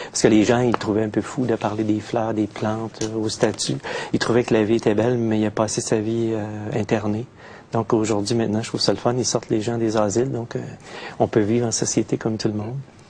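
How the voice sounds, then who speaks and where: A man with a Quebec accent speaks at a fairly quick pace with a fairly low pitch. His intonation is a flat monotone, and noticeable background noise is present. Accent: Québécois French. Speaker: poet. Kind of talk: interview. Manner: hesitant, many fillers.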